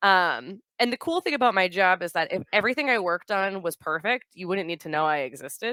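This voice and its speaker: A woman with a Boston accent speaks at a fairly quick pace, her medium-pitched voice bright and sharp with lively intonation. The recording is very clean with a silent background and a dry, close sound with no echo. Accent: Boston, drops consonants. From US Northeast, Boston. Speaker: software product manager. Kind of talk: conference talk. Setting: stage with audience. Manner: casual, filler-heavy.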